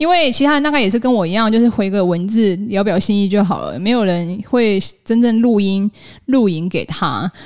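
A woman speaks at a moderate pace. Her intonation is lively and her pitch medium. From Taiwan. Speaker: podcast host. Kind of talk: solo podcast monologue. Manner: casual, with filler sounds.

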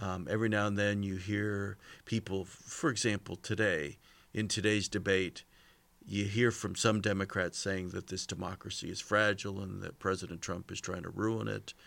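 A man with an ordinary speaking voice and fairly low pitch talks at a moderate pace with fairly even intonation in a very clean recording with a silent background. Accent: American. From California. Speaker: political scientist. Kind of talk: casual chat.

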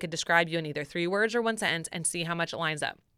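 Loud and animated, a woman speaks at a medium pitch in a bright, sharp tone with ordinary pitch variation on a very clean recording with a silent background. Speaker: podcast host. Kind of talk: casual chat.

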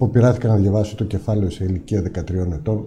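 The man talks at a fairly slow pace. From Greece, Ikaria. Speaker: businessman and parliamentary candidate. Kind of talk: political interview.

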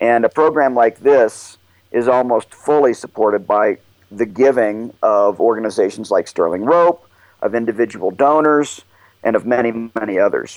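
A man with an American accent speaks at a moderate pace and medium pitch, with ordinary pitch variation. His is a plain, everyday voice, heard in a dry, close sound with no echo. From Oklahoma. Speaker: mountaineer and nonprofit director. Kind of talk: interview.

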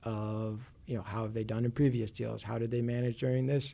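A man with a Chicago accent talks in a flat monotone, his dark, mellow voice somewhat breathy against a quiet background. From Chicago, US Midwest. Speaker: CLO analyst. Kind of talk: casual interview about finance.

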